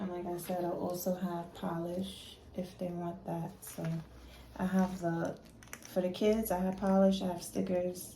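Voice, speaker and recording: A woman in a New York accent, medium in pitch, monotone and flat, at a fairly slow pace over noticeable background noise. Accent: New York City English. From New York City. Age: 30s. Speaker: nail technician. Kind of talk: casual talk to camera.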